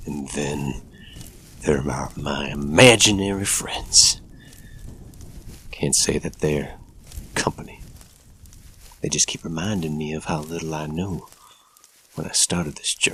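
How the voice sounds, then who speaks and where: In a gruff, put-on character voice with very deep, low pitch, a man talks at a fairly slow pace with long, frequent pauses. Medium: audio drama.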